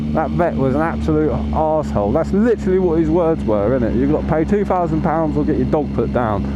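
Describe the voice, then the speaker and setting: A man talks very fast with hardly any pauses and very even loudness. Room echo and background noise are both noticeable. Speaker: motorcycle vlogger. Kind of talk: casual monologue while riding. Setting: outdoors on a motorcycle. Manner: animated, stumbling over words.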